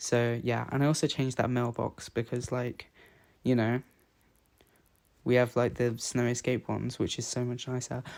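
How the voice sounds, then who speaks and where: A man with a British accent, monotone and flat, with long, frequent pauses, on a very clean recording with a silent background. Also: medium pitch for a man, moderate pace. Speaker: gaming YouTuber. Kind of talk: casual chat over gameplay. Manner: casual, hesitant with fillers.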